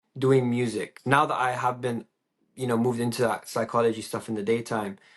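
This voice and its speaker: A man with an English accent talks at a moderate pace in a medium-pitched voice. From England. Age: 20s. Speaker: DJ and psychology student. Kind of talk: podcast interview.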